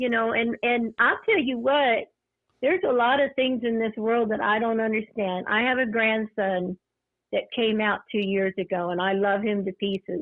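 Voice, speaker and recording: Fairly high-pitched woman with a plain, everyday voice, moderate pace, ordinary pitch variation and very even loudness. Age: 60s. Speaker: caller. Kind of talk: casual chat.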